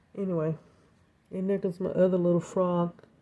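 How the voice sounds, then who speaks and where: A soft-spoken woman has a medium-pitched voice. Its tone is dark and mellow. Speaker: home balcony gardener. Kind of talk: casual talk to camera. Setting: indoors recording, rain outside.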